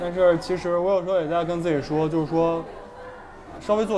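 A man's high-pitched voice with a slight Beijing accent, ordinary pitch variation and a moderate pace, plus audible room echo and crowd noise in the background. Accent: slight Beijing accent picked up. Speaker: a cappella singer. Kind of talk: casual chat. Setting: restaurant.

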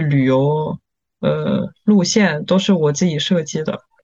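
Very slow speech in a French accent. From rural France. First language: French (speaking Chinese). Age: 20s. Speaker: tour guide and entrepreneur. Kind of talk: casual interview. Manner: halting, frequent fillers and repetitions.

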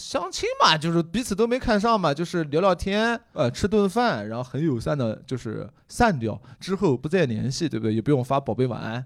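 Delivered at a moderate pace with very wide pitch swings, the voice comes through on a very clean recording with a silent background. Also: man, fairly high pitch for a man. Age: 30s. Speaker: comedian. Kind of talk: casual chat. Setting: stage with audience.

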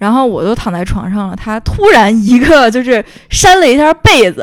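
This woman sounds animated. Her intonation is lively. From Beijing. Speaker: podcast host. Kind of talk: casual chat. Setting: at home.

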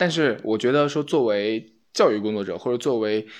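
A man talks at a fairly quick clip against a quiet background. His pitch is medium, and he has a plain, everyday voice. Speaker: podcast host. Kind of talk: casual chat.

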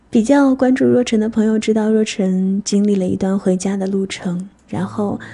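A woman's somewhat breathy voice carries a dark, mellow tone and ordinary pitch variation. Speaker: radio DJ. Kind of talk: scripted narration. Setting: studio. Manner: stutter.

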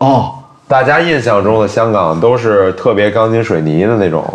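The speaker has a slight Beijing accent and talks at a fairly slow pace with lively intonation and very even loudness. Noticeable background noise and audible room echo are present. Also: man. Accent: slight Beijing accent in Mandarin. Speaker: media worker based in Hong Kong. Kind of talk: casual chat.

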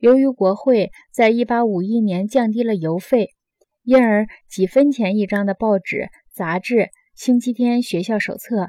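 A woman's ordinary speaking voice, fairly high in pitch with ordinary variation, at a fairly slow pace, in dry, close sound with no echo. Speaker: audiobook narrator. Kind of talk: audiobook reading of nonfiction. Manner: measured, steady, formal.

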